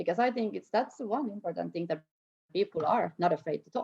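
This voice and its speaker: A woman talks with a Finnish accent. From Finland, Tampere. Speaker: snowboard program organizer. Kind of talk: interview conversation. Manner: halting.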